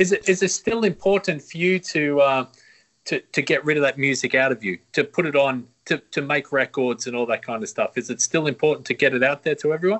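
Lively intonation marks this man's fairly high voice. He speaks with an Australian accent. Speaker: podcast host. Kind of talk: casual interview. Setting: video call.

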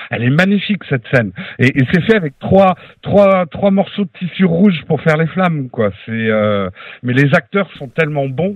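A man at a fairly high pitch speaks at a moderate pace, his pitch swinging very widely. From France, childhood partly in USA. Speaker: podcaster. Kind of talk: casual chat. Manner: animated.

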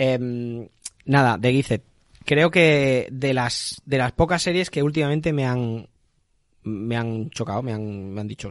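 The words come very slowly, with ordinary pitch variation. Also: man, medium pitch for a man. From Spain, Valencia region (Gandia). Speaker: podcast host. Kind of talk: casual chat. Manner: animated.

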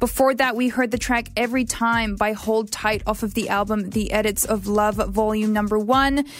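A woman with a fairly high pitch speaks at a moderate pace with hardly any pauses and very even loudness, music playing in the background. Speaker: radio host. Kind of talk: radio dj patter. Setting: radio studio. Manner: chatty, upbeat, friendly; casual, slightly rambling, with fillers.

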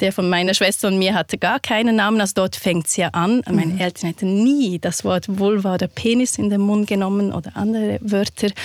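In a very clean recording with a silent background and a dry, close sound with no echo, a woman uses an ordinary speaking voice at medium pitch, with ordinary pitch variation and very even loudness. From Switzerland. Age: 40s. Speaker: victim support counsellor and author. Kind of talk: interview.

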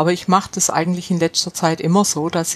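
Amid noticeable background noise, a woman speaks at a moderate pace in a fairly low pitch with monotone, flat intonation. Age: 70s. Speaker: gluten-free baking expert. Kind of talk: casual chat.

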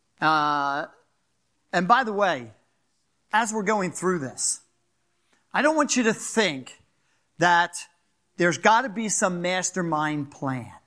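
In a Philadelphia accent, the speaker goes at a very slow pace with long, frequent pauses, lively intonation and a bright, sharp tone. The recording is very clean, with a silent background. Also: man, high pitch for a man. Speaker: pastor. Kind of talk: sermon. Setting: church.

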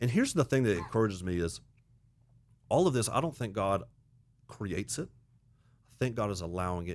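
A man with a Southern US accent, fairly low pitch, lively intonation and a very fast pace, on a very clean recording with a silent background. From US South (Auburn, Alabama). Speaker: pastor. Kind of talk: casual chat.

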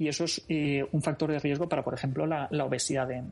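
Somewhat breathy, a man with a fairly high pitch talks at a very fast pace. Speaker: psychologist. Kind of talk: casual interview.

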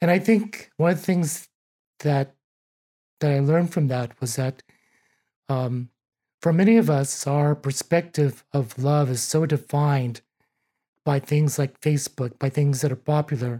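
A man's somewhat breathy, dark, mellow voice at a fairly high pitch, fairly slow with long, frequent pauses and ordinary pitch variation, in a dry, close sound with no echo. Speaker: environmental health inspector, former pastor. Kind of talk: casual interview chat.

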